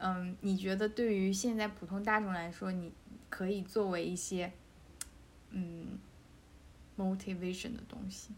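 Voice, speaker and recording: With audible room echo, a woman speaks at a fairly slow pace in a monotone, flat intonation, leaving long, frequent pauses. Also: medium pitch for a woman. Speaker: podcast host. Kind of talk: casual chat.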